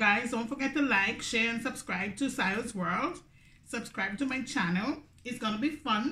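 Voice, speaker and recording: In a Grenadian accent, a woman speaks at a moderate pace and a fairly high pitch with ordinary pitch variation. Her tone is animated, and the room echo is audible. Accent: Grenadian Caribbean English. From Grenada. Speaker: YouTuber. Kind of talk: mukbang eating video monologue. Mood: relaxed, chatty. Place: home room. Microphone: phone near.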